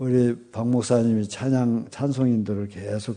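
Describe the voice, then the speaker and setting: In a dark, mellow tone, a man speaks at a very slow pace with fairly even intonation. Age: 70s. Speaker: retired senior pastor. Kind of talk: revival sermon. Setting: church revival meeting.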